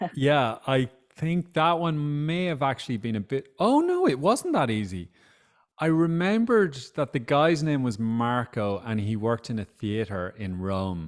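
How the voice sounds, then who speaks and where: Speaking at a fairly slow pace, a man with an Irish accent makes very wide pitch swings. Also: medium pitch for a man. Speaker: author and social campaigner. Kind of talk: book club interview. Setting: video call.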